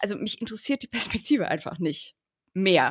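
On a very clean recording with a silent background, a woman with a normal speaking voice and medium pitch talks at a moderate pace with lively intonation. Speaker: podcast co-host. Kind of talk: interview conversation.

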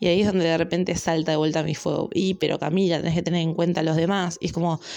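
A woman talks in a fairly low pitch with a Rioplatense accent. Noticeable background noise runs underneath. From Argentina, La Plata. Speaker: astrology podcaster. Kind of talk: casual monologue.

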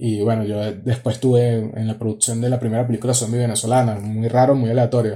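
A man speaks very fast with hardly any pauses, in a somewhat breathy, dark, mellow voice at medium pitch and a monotone, flat delivery. The recording is very clean, with a silent background. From Venezuela. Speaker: audiovisual producer. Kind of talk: casual chat.

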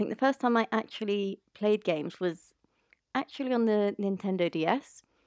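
A woman's unremarkable speaking voice at a moderate pace, with ordinary pitch variation, very even loudness and a dry, close sound with no echo. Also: medium pitch for a woman. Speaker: podcast co-host.

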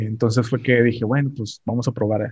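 A somewhat breathy voice with monotone, flat intonation. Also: man. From Mexico, Tamaulipas. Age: 30s. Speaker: online seller. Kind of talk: casual interview.

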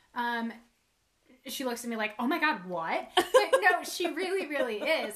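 A plain, everyday voice belonging to a woman, moderate in pace and fairly high in pitch. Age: 30s. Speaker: author and publishing business partner. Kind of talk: casual chat.

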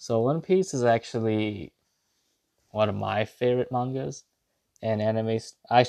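A man with an American accent has a dark, mellow tone at a medium pitch with ordinary variation. The sound is dry and close, with no echo. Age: 20s. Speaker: podcaster. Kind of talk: casual monologue. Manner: casual, rambling with fillers.

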